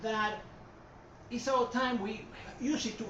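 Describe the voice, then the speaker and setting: Speaking with a Puerto Rican accent, a man is heard with audible room echo and noticeable background noise. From Puerto Rico. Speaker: art historian. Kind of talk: lecture. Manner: hesitant, many fillers.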